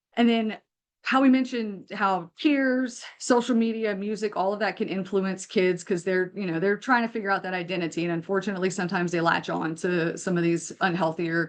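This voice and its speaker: This is an ordinary speaking voice. A woman talks at a fairly quick pace, with a medium pitch and ordinary pitch variation. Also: hardly any pauses. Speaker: mental health counselor. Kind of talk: webinar presentation.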